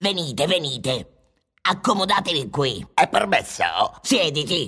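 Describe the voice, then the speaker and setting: The voice sits at middle pitch and moves at a moderate pace. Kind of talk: absurdist radio comedy. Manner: exclamatory, theatrical, bossy.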